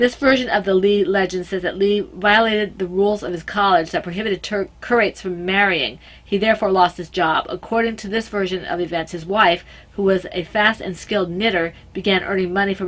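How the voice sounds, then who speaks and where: With an American accent, a woman talks at a fairly quick pace in a medium pitch, keeping her intonation fairly even. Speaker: podcast host. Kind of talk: reading aloud. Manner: halting.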